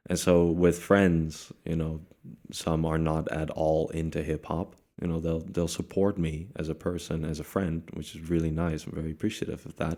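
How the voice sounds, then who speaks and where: With a Dutch accent, a man speaks in a very deep, low pitch, his tone dark and mellow and his intonation monotone and flat. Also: moderate pace. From Netherlands. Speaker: rapper. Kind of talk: interview.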